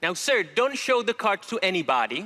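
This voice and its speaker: A man speaks at a moderate pace in a raised, projected voice, his pitch swinging very widely. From Czech Republic. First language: Czech. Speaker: magician. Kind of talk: stage performance patter. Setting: stage with audience. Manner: theatrical.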